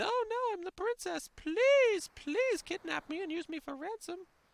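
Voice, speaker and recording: The voice is a put-on character voice, pitched extremely high. It moves at a moderate pace. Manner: shrill, mocking.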